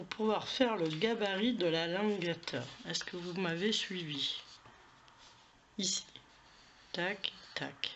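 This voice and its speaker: A woman's medium-pitched voice at a very slow pace, with ordinary pitch variation, big swings in loudness, long, frequent pauses and noticeable background noise. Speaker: crafting tutorial youtuber. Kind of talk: tutorial. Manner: hesitant, many fillers.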